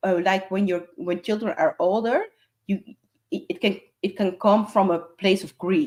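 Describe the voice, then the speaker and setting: Moderate-paced speech from a woman with a Dutch accent, a medium pitch, ordinary pitch variation and long, frequent pauses. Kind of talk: casual chat. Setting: live stream. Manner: swallows some letters.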